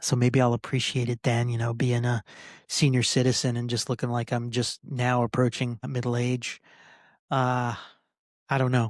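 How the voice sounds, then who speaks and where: On a very clean recording with a silent background, a man speaks at a moderate pace and a medium pitch. The sound is dry and close with no echo, and his intonation is monotone and flat. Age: 40s. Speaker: podcast host and political candidate. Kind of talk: solo podcast rant. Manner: halting, many fillers.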